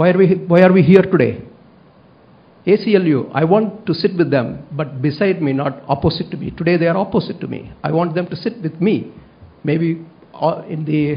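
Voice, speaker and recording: Speaking at a moderate pace with a Tamil accent, a man uses a high pitch and ordinary pitch variation. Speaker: public commenter at school board meeting. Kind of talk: public comment speech. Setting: school board meeting, at a microphone. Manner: halting, many fillers.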